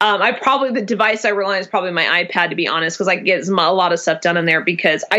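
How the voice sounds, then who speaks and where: Medium-pitched woman's voice at a very fast pace with ordinary pitch variation over noticeable background noise. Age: 30s. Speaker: small business founder with chronic migraines. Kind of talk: casual interview chat.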